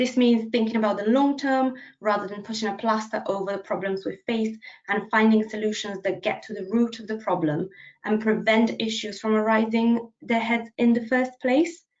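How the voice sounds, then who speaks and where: A woman's fairly high voice in a Bulgarian accent, with fairly even intonation. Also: moderate pace. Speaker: policy officer. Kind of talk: presentation. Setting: video call.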